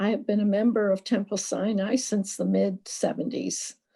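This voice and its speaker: A dark, mellow tone comes through, somewhat breathy, at a moderate pace. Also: woman. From Poland. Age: 70s. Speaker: Holocaust survivor. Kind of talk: testimony.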